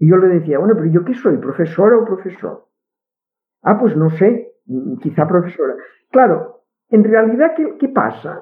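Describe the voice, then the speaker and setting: Pitch swings very widely while the pace holds moderate. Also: woman, medium pitch for a woman. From Catalonia. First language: Catalan (speaking Spanish). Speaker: linguist. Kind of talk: interview. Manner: halting, many repetitions.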